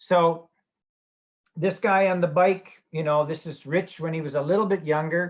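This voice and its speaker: Fairly even intonation from a man with a Canadian accent, a plain, everyday voice, fairly high-pitched, at a moderate pace over a quiet background. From Canada, Edmonton, Alberta. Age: 60s. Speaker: sports medicine physician. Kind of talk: webinar lecture. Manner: casual, joking.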